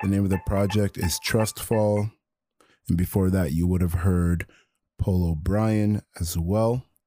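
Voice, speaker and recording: Music plays behind a man with a very deep, low voice and a warm tone. He talks at a fairly slow pace with very even loudness and fairly even intonation. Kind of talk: radio DJ patter: live campus-radio show intros, new-music teases and sign-off. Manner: warm, positive and encouraging, with catchphrases.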